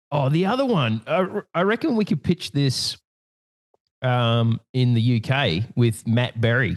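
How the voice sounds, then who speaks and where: A man with an Australian accent speaks at a fairly slow pace in a medium pitch. His intonation is lively, and his loudness stays very even. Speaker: podcast host. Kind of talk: casual chat.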